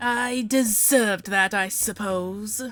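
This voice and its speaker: In a put-on character voice, a woman speaks at a fairly slow pace and medium pitch. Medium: actual play. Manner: formal, courteous.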